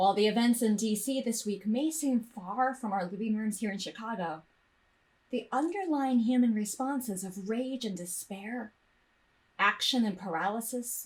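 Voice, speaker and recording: Somewhat breathy, a woman speaks with lively intonation at a fairly high pitch. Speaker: minister giving a sermon. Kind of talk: sermon delivered to a congregation.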